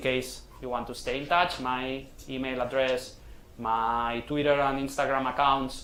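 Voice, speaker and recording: A man talks with fairly even intonation. Room echo is audible. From Catalonia, Spain. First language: Catalan or Spanish. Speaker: sports science researcher. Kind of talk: lecture. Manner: halting.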